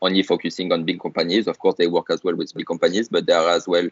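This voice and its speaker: A very fast pace in a French accent, with hardly any pauses. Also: man. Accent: noticeable French. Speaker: startup founder and CEO. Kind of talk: podcast interview. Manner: hesitant, many fillers.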